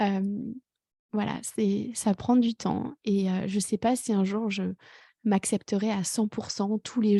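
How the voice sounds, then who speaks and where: A woman speaks at a medium pitch and a very slow pace, her tone dark, mellow and somewhat breathy, with fairly even intonation. The sound is dry and close with no echo, over a quiet background. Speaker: life coach, podcast host. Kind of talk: personal podcast monologue. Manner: hesitant, many fillers.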